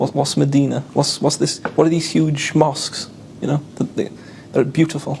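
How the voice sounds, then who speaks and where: A man with a South Wales accent talks at a moderate pace in a fairly high pitch, his intonation flat and monotone, over noticeable background noise. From South Wales (Caerphilly). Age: 20s. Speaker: convert telling his story. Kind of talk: testimony. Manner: casual, repetitive storytelling.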